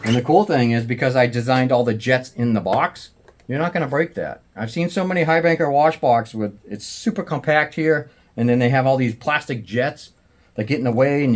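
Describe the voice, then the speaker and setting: This man speaks at a fairly quick pace in a medium pitch. His pitch moves in an ordinary way. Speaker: prospecting equipment maker and video host. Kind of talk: product demo tutorial. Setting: garage. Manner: fast.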